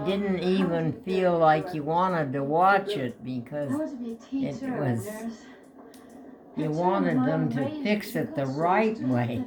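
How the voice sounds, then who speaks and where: The pitch swings very widely at a very slow pace. Background noise is noticeable. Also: woman. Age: 80s+. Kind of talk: interview answer.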